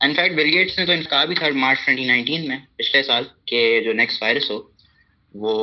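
A man speaks at a moderate pace with a fairly high pitch, ordinary pitch variation, and long, frequent pauses. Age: young. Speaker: student. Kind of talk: panel discussion. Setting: phone call.

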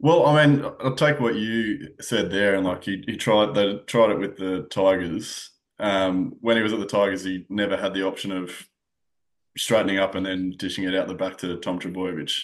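The speaker has an Australian accent, a moderate pace and ordinary pitch variation. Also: man, fairly low pitch for a man. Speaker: sports journalist. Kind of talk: casual sports chat.

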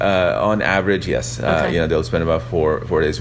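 Fairly quick speech amid audible room echo and noticeable background noise. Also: man. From Pakistan. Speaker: tech app founder. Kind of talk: interview. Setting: hotel lounge. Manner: halting, many fillers.

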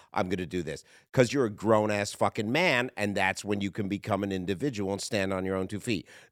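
Fairly quick and fairly low in pitch, a man talks with ordinary pitch variation and a normal speaking voice. The recording is very clean with a silent background. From Canada. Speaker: comedian. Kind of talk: casual chat. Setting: studio.

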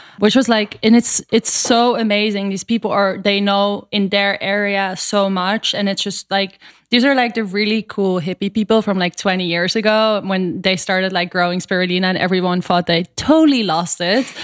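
A woman with a Dutch accent and fairly even intonation, in a dry, close sound with no echo, on a very clean recording with a silent background. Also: medium pitch for a woman, moderate pace, hardly any pauses. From Netherlands. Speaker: superfood company co-founder. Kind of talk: interview.

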